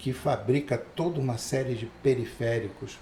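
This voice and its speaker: The pitch varies in an ordinary way. The voice is somewhat breathy. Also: man. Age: 60s. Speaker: photographer and cinematographer. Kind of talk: casual interview chat.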